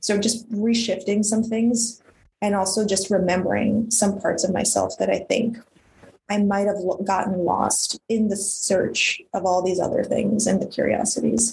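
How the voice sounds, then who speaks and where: A woman with vocal fry speaks at a moderate pace and medium pitch, keeping her intonation fairly even and her loudness very even. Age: 30s. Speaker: filmmaker. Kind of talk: casual chat.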